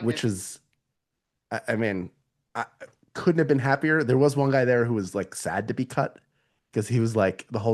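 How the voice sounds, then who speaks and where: A man speaks at a fairly quick pace. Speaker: voice actor and podcaster. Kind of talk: casual unscripted podcast conversation. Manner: animated, self-deprecating storytelling.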